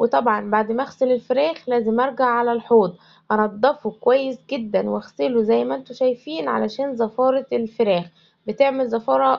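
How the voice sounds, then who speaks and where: Speaking in an Egyptian accent, a woman uses a fairly high pitch and ordinary pitch variation at a moderate pace. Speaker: homemaker vlogger. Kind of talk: home vlog narration.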